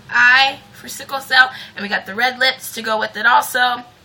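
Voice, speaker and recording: Over noticeable background noise, a woman with a high pitch speaks at a moderate pace. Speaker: beauty vlogger. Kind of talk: tutorial. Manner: casual, chatty.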